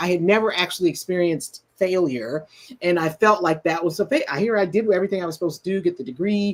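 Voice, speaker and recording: A woman with a medium pitch, an ordinary speaking voice and a fairly quick pace. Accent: American. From US Midwest, Detroit, Michigan. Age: 60s. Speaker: musician and counselor. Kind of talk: interview conversation.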